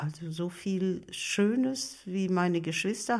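Lively intonation with a somewhat breathy quality. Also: woman. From Germany, Ruhr area (Bochum). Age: 80s+. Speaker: elderly woman sharing life story. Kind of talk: interview.

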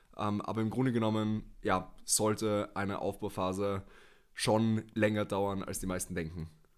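In a very clean recording with a silent background, a man speaks in a flat monotone at a fairly low pitch. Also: fairly slow pace. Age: 20s. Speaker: natural bodybuilder and former powerlifter. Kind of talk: casual podcast conversation. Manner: hesitant, many filler sounds.

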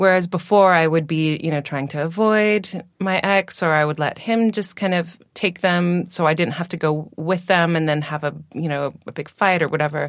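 In a plain, everyday voice, a woman with an American accent talks at a moderate pace and a fairly low pitch, with fairly even intonation and hardly any pauses, in a very clean recording with a silent background. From Washington State, US. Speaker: singer and food blogger. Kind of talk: casual chat. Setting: in person.

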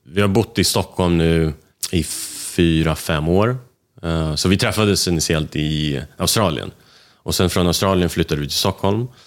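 In a very clean recording with a silent background, the delivery keeps a moderate pace. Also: man. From Sweden, Russian family. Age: young. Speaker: entrepreneur, motorcycle designer. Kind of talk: interview.

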